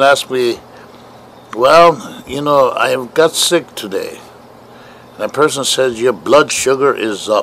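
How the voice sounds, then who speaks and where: At a fairly slow pace and a fairly high pitch, a man talks over noticeable background noise. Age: 70s. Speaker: diabetes awareness walker. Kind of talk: testimony. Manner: halting, many fillers.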